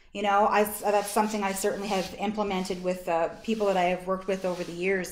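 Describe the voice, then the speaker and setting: The room echo is audible. A woman races through her words at a very fast pace. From Canada, East Coast (Nova Scotia). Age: 40s. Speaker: social work association executive director. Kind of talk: workshop presentation. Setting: video call.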